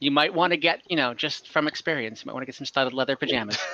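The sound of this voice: A man talks at a fast pace with a bright, sharp tone, a medium pitch and ordinary pitch variation.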